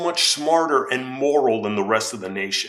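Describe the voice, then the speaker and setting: Music plays in the background as a man talks at a moderate pace. His tone is animated and his intonation lively. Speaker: political commentary youtuber. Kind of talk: opinion commentary.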